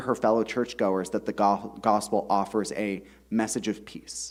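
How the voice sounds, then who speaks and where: A man's voice with vocal fry. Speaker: author. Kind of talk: reading aloud. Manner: fast.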